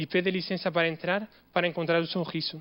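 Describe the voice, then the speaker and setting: A man with a non-native accent speaks at a high pitch and moderate pace, his intonation fairly even. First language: not Portuguese (speaking Portuguese). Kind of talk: Christmas homily told as a story.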